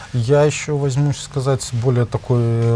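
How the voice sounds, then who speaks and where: With fairly even intonation, this man's voice holds a medium pitch. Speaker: economic researcher. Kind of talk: expert discussion. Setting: studio. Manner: halting.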